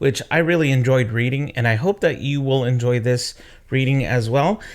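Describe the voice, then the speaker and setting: A man with a plain, everyday voice speaks at a medium pitch and a moderate pace. His pitch varies in an ordinary way and his loudness stays very even. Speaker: storyteller reading aloud to children. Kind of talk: casual talk to camera.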